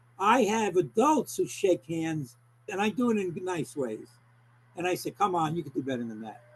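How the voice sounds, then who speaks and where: At a moderate pace, a man with an American accent speaks in a high voice with very wide pitch swings. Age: 70s. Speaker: clinical social worker. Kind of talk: interview. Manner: animated; halting.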